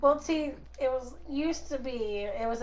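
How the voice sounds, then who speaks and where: Audible room echo follows a woman as she talks at a fairly slow pace. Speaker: co-streamer, gamer. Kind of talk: casual chat.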